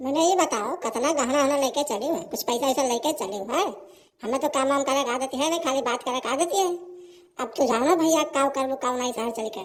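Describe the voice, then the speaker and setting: In a cartoonish character voice, a woman speaks at a fairly quick pace with a high pitch and ordinary pitch variation. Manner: fretful, scheming.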